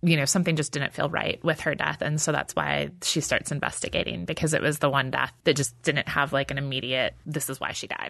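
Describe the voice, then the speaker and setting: The speaker has an American accent and vocal fry, talking fairly quickly with fairly even intonation. The background is quiet. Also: woman, very deep, low pitch for a woman, hardly any pauses. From Texas, then Michigan. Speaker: novelist. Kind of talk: interview. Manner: casual, laughs often.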